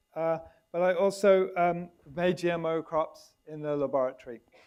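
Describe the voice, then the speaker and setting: A British accent with fairly even intonation at a moderate pace. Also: man. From Britain. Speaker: biologist and nonprofit director, debate panelist. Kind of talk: panel debate opening statement. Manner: halting, many fillers and restarts.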